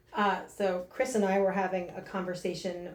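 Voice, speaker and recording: Here is a woman with an American accent at medium pitch. She speaks at a moderate pace with audible room echo. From northern New Jersey. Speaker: fitness coach. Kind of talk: interview. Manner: loud; energetic.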